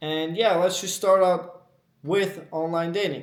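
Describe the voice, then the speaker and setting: A man talks in a high pitch, and the room echo is audible. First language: not English. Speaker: dating advice youtuber. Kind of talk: unscripted monologue. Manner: casual, ranting.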